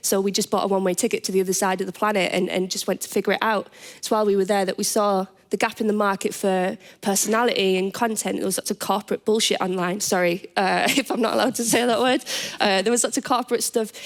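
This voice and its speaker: A woman with a Teesside accent talks at a very fast pace. Her pitch is medium and her intonation fairly even. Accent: northeast England (Teesside). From northeast England, Middlesbrough. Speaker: business founder, panelist. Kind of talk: panel discussion. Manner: halting, many repeated words.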